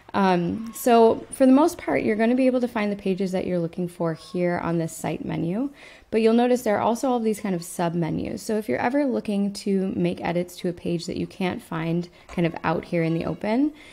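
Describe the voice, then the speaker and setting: Lively intonation and a dark, mellow tone carry the speech along at a fairly quick pace with hardly any pauses. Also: woman. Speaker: website tutor. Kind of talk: tutorial. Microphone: webcam.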